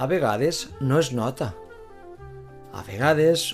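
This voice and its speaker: Music plays in the background as someone speaks at a very slow pace with a Valencian accent. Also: man. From Valencia, Spain. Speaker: language teacher. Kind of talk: slow simple narration for language learners.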